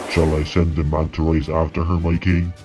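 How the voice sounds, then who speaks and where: Using a put-on character voice, a man talks at a moderate pace in a very deep, low pitch with monotone, flat intonation over clear background music. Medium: audio drama.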